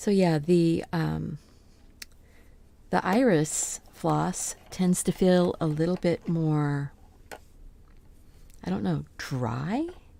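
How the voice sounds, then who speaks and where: A soft-spoken woman's dark, mellow voice at fairly low pitch, very slow with long, frequent pauses, lively in intonation, in a very clean recording with a silent background. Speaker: crafter live-streaming embroidery floss winding. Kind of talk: casual live-stream talk to self. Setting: home studio live stream. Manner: quiet, unprojected.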